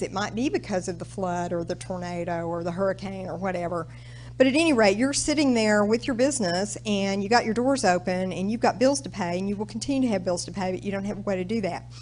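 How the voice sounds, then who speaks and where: A woman speaks with an American accent and lively intonation. Audible room echo surrounds her voice. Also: hardly any pauses. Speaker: government small business specialist. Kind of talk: presentation to audience. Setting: stage with audience. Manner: casual, conversational.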